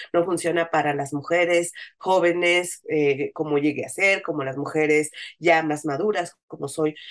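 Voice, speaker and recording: A woman speaks with a very deep, low pitch and fairly even intonation. Her pace is fairly slow. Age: 40s. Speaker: feminist activist and communicator. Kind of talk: interview conversation.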